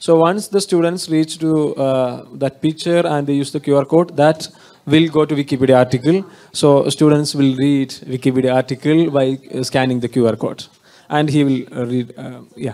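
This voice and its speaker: A man speaks at a moderate pace in a fairly high voice with a dark, mellow tone. His intonation stays fairly even. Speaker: workshop participant. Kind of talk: group report-back. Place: meeting room. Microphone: handheld.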